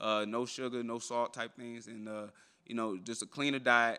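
A man speaks at a fairly quick pace with a medium pitch. His tone is bright and sharp, and the background is quiet. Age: 20s. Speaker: professional MMA fighter. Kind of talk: media day interview. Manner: animated. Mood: relaxed, confident. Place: hall.

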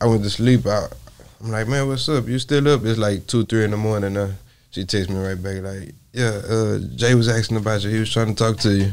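A man talks at a fairly quick pace. His voice is fairly low in pitch, with ordinary pitch variation. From Port Arthur, Texas; Texas. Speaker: rapper; podcast guest. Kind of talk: interview. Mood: reflective, personal. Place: studio. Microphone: lapel.

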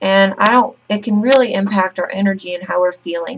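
A woman at a moderate pace with ordinary pitch variation, against loud background noise. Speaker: health educator or nurse. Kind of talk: tutorial. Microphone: webcam.

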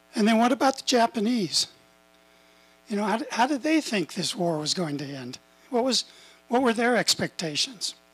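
Pitched extremely high, a man with an American accent makes very wide pitch swings at a moderate pace, broken by long, frequent pauses. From US Southwest. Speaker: retired engineer giving history talk. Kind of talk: lecture. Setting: stage with audience. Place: hall. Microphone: handheld.

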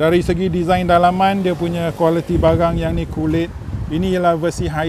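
A man's high, monotone, flat voice at a moderate pace, dry with no echo, over noticeable background noise. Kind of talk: casual car review commentary. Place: street. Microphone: phone near.

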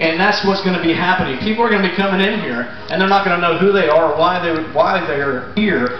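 A man is heard with audible room echo and clear music in the background. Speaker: pastor. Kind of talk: sermon to a congregation. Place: tent. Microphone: camera far.

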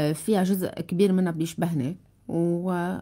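Against a quiet background, a woman with a Lebanese accent speaks with a fairly low pitch and a dark, mellow tone. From Lebanon. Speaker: TV journalist, political talk show host. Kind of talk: casual chat, interview. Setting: studio with audience. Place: studio. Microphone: studio mic.

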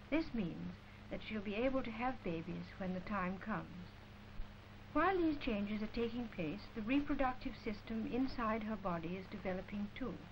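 Over noticeable background noise, a woman with an English accent talks at a fairly high pitch and moderate pace, using lively intonation. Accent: received pronunciation, posh. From England. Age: adult. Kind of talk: educational film narration. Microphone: old recording.

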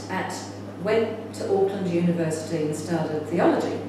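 Amid noticeable background noise and strong room echo, a woman speaks at a moderate pace with lively intonation. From England, then New Zealand from age 14. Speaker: spiritual teacher and film director. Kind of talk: conference talk. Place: home room. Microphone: camera far.

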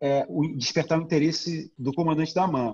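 A man speaks at a moderate pace with a Brazilian accent. His somewhat breathy voice has a dark, mellow tone and ordinary pitch variation. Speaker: documentary director. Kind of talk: casual interview.

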